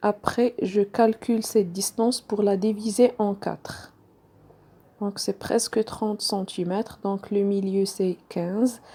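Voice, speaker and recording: Very slowly and in a monotone, a woman with a non-native accent speaks in a dark, mellow tone at a medium pitch. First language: not French (speaking French). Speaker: sewing tutorial creator. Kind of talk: tutorial. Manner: halting, many fillers.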